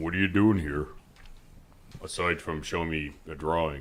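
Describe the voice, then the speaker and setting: In a put-on character voice, a man speaks at a moderate pace with a very deep, low pitch and fairly even intonation. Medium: actual play. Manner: hesitant, uses filler sounds.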